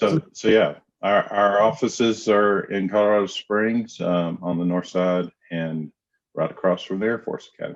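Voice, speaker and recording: Speaking with a Southern US accent, a man uses a fairly low pitch with ordinary pitch variation. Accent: Southern drawl. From US South, Knoxville, Tennessee. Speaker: counselor. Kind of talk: interview. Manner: hesitant, many fillers.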